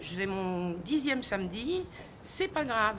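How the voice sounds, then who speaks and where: Her pitch swings very widely as the woman speaks over noticeable background noise, with audible room echo. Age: 60s. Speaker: protester. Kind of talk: street interview. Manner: animated.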